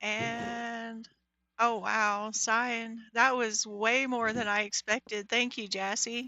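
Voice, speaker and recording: Fairly high in pitch, a woman speaks quietly. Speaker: Minecraft livestreamer. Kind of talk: live gameplay commentary. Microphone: mic volume reported as bad.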